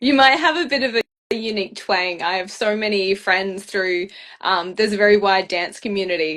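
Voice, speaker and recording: Speaking with an Australian accent, a woman keeps a medium pitch. Her pace is moderate. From Perth, Western Australia. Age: 20s. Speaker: beauty pageant finalist. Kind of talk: casual interview chat. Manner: animated.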